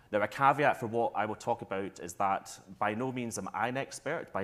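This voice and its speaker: Fairly quick speech in a Scottish accent with ordinary pitch variation, on a very clean recording with a silent background. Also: man. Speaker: tourism marketing executive. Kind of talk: panel discussion. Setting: stage with audience.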